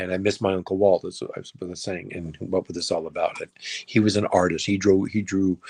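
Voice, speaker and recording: A man with a very deep, low pitch talks at a fairly quick pace in a monotone, flat intonation, with big swings in loudness. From US West (Los Angeles). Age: 60s. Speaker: filmmaker. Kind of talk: interview.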